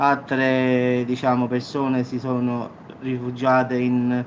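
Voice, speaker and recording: Against noticeable background noise, a man talks at a very slow pace with monotone, flat intonation. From Salerno, southern Italy. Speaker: YouTube news commentator. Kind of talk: casual talk to camera.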